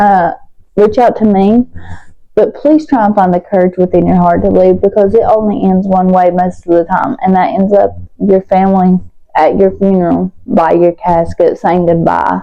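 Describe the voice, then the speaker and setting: A woman speaks with a strong Southern US accent. Her pace is moderate and her loudness very even. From West Virginia, US. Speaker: vlogger. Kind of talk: storytime vlog while doing makeup. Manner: casual, conversational with fillers.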